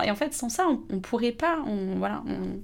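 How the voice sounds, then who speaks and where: The speaker is a woman with a fairly high pitch. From Haute-Savoie, France. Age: 30s. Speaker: winegrower. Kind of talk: casual interview. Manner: hesitant, with many fillers.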